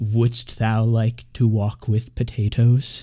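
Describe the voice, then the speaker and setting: A man performs a put-on character voice at a medium pitch. He talks at a very slow pace with monotone, flat intonation. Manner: menacing, archaic-sounding.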